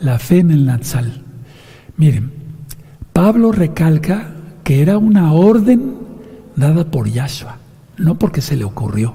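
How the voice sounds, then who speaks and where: Over noticeable background noise and audible room echo, a man speaks fairly slowly at a fairly high pitch. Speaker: pastor. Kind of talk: sermon.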